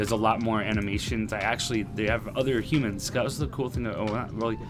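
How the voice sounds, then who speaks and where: Music plays in the background, and audible room echo surrounds the voice. A man speaks at a fairly low pitch and fairly quick pace, with fairly even intonation. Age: 30s. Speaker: gaming streamer. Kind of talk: live stream gameplay commentary. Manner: casual, conversational.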